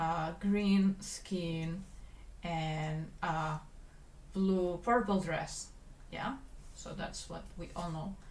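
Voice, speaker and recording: The speech moves at a very slow pace, with long, frequent pauses and big swings in loudness, though the intonation stays fairly even. Audible room echo and noticeable background noise fill the recording. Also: woman, fairly low pitch for a woman. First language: Spanish. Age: 20s. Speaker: animator and livestreamer. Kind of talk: casual livestream chat while working. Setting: livestream.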